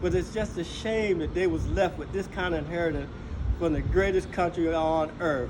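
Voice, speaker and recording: Noticeable background noise under a man's fairly high voice, fairly even in intonation, at a moderate pace. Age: 60s. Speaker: Air Force veteran. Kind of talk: interview answer.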